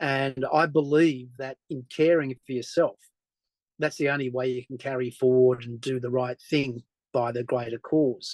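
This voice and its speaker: A man talks with an Australian accent at a medium pitch. His intonation is monotone and flat. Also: moderate pace, dry, close sound with no echo. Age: 60s. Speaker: journalist. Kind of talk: interview conversation.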